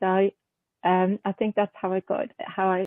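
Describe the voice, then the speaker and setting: A woman with a Swedish accent speaks at a fairly slow pace and a medium pitch. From southern Sweden. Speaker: haiku poet and journal editor. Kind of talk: interview. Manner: hesitant, many fillers.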